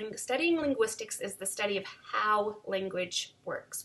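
Lively intonation from a woman at a fairly slow pace. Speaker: teacher. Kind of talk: lecture. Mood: warm, encouraging. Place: home room. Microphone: webcam.

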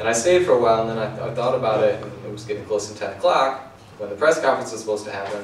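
The speech comes at a very fast pace with ordinary pitch variation, over light background noise and audible room echo. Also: man. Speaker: speaker. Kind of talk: storytelling talk to an audience. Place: shop. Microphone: camera far.

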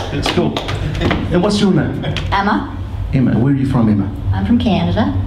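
The speech moves at a moderate pace. Noticeable background noise is present. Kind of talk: stand-up comedy with audience participation. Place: stage. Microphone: handheld.

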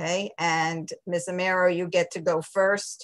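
A woman is speaking. The background is quiet. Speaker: debate moderator. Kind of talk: moderating a forum. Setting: video call. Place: home room. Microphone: webcam.

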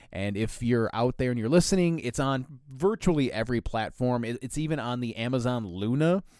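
A man with an unremarkable speaking voice, medium pitch and lively intonation, at a moderate pace, on a very clean recording with a silent background. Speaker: podcast co-host. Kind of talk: casual chat.

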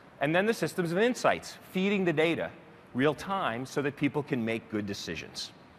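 Over light background noise, a man with vocal fry and a fairly high pitch talks at a moderate pace, his pitch swinging very widely. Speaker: technology executive. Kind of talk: keynote speech. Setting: stage with audience. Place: stage. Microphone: headset.

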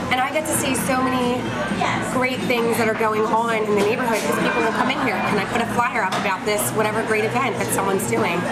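A woman's fairly quick pace comes through loud background noise. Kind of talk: interview answer. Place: cafe.

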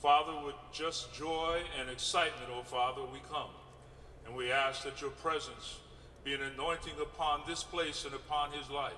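At a moderate pace and in fairly even intonation, the voice carries over light background noise and audible room echo. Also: man. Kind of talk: prayer. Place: waterside. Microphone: podium.

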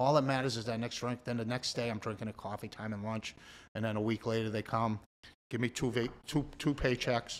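Talking at a fairly quick pace, a man with a Boston accent keeps a medium pitch. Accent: Boston-area New England. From Massachusetts. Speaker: recovering addict; podcast guest. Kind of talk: testimony. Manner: animated. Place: studio. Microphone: studio mic.

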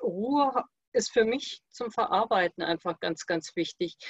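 Moderate pace and ordinary pitch variation, with a quiet background and a dry sound free of echo. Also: woman. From Königstein im Taunus, Hesse; Hesse. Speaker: participant. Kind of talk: casual chat. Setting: video call. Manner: halting. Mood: calm, reflective. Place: home room. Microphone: video call.

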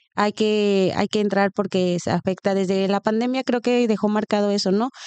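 A woman with a Mexican accent speaks at a moderate pace and a medium pitch, with fairly even intonation. The sound is dry with no echo, over a quiet background. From Mexico. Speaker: podcast co-host. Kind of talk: interview. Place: home room. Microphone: studio mic.

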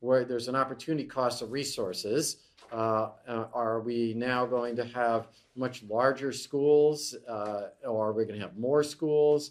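A man speaks at a fairly slow pace. His intonation stays fairly even. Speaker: economics lecturer. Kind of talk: lecture. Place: classroom.

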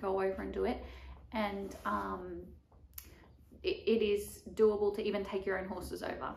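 A woman is speaking. Light background noise and audible room echo are present. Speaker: barrel racer vlogger. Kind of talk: casual vlog chat. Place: home room. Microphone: camera far.

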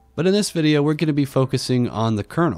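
A man speaks with very wide pitch swings. The sound is dry and close with no echo, with music in the background. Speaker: tech hobbyist YouTuber. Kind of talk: tech tutorial voice-over. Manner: casual.

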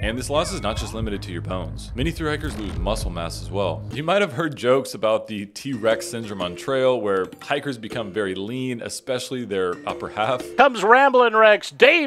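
A man talks at a moderate pace with hardly any pauses and big swings in loudness, while clear music plays in the background. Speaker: video host. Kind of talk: explainer commentary. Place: studio. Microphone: studio mic.

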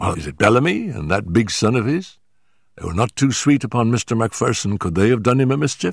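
In a put-on character voice, a man speaks at a fairly quick pace and medium pitch with big pitch swings, a slightly husky edge and vocal fry, in a very clean recording with a silent background.

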